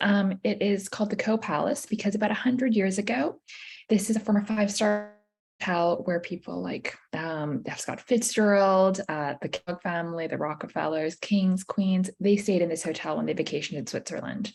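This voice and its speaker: Somewhat breathy and medium in pitch, a woman talks with an American accent. She moves at a fairly quick pace with lively intonation. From United States. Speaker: university admissions representative. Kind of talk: presentation at virtual college fair.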